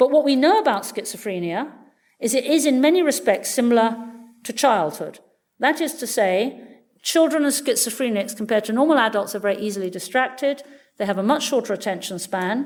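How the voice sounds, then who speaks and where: This woman's voice is fairly high in pitch. She speaks at a fairly quick pace with lively intonation. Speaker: neuroscientist. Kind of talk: lecture. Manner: fast.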